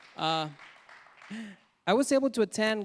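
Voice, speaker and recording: A man with a Mexican accent at a moderate pace, dry and close with no echo, crowd noise in the background. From Mexico. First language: Spanish. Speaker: immigrant storyteller. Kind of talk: live storytelling.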